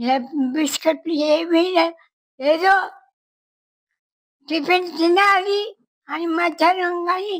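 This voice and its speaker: This woman's voice sits extremely high, with fairly even intonation. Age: 80s+. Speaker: centenarian interviewee. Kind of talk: casual interview. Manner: halting.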